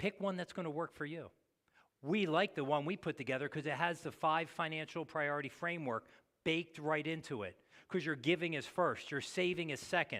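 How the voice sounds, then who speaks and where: A man talks at a fairly quick pace with a fairly high pitch, in a normal speaking voice. The recording is very clean, with a silent background. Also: ordinary pitch variation. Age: 60s. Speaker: pastor. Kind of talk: sermon.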